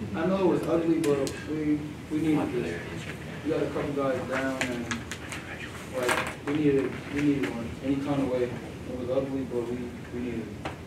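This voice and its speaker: Amid loud background noise and audible room echo, a man speaks at a moderate pace with ordinary pitch variation and long, frequent pauses. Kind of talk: interview answer. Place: meeting room. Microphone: camera far.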